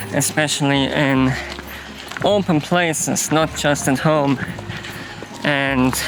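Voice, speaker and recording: Against noticeable background noise, a man with a fairly high pitch speaks at a very slow pace, with fairly even intonation and long, frequent pauses. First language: not English. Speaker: vlogger. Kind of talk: casual vlog monologue. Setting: outdoors walking with dog. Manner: hesitant, with fillers.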